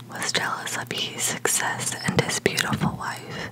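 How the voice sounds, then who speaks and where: Everything comes out in a whisper. It moves along very slowly. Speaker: storyteller reading aloud. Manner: soft-spoken, hushed ASMR reading.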